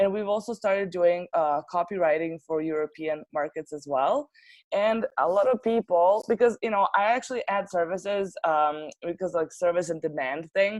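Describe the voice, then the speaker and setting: A woman with a Serbian accent at a moderate pace, fairly low in pitch with ordinary pitch variation, in a dry, close sound with no echo. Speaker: translation agency owner. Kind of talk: interview. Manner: hesitant, many fillers.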